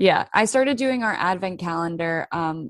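Heard dry and close with no echo against a quiet background, an ordinary speaking voice carries lively intonation. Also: woman. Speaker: podcast host. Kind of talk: casual chat.

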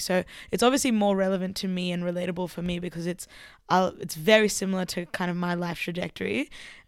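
A woman with an Australian accent, medium in pitch, talking at a very fast pace with fairly even intonation over a very clean recording and a silent background. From rural Queensland, Australia. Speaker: DJ and artist. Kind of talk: casual chat.

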